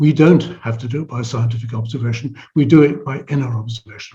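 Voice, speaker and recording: The voice is somewhat breathy and dark, mellow in tone, with ordinary pitch variation. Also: man. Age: 70s. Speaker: psychology professor. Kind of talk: interview conversation. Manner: halting, with frequent restarts and repetitions.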